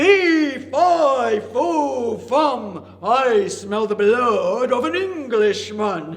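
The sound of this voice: A man uses a put-on character voice with an extremely high pitch, speaking at a very slow pace.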